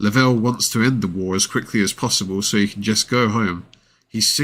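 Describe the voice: The voice is a plain reading aloud with ordinary pitch variation.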